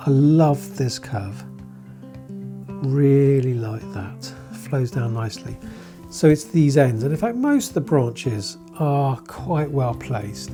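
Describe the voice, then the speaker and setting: The speech goes at a very slow pace. Music plays in the background. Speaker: bonsai teacher. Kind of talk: tutorial talk to camera.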